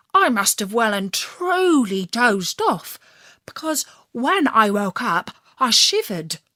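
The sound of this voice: The reading voice here is unforced.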